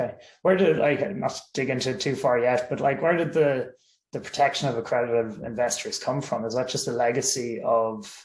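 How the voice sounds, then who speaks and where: A man with an Irish accent talks at a fairly quick pace in a medium pitch, somewhat breathy, with lively intonation. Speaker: webinar host. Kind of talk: webinar interview.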